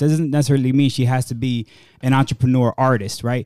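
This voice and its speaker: A man with an American accent speaks at a medium pitch and a fairly quick pace, his tone dark and mellow. The sound is dry and close with no echo, on a very clean recording with a silent background. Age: 30s. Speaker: podcast co-host. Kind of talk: casual chat. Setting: studio.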